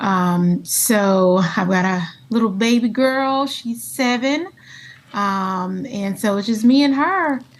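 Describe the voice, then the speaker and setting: Lively in intonation and somewhat breathy, a woman talks at a very slow pace in a fairly high pitch. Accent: American. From US South, South Carolina (Myrtle Beach). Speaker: school leader and candle maker. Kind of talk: casual chat. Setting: studio.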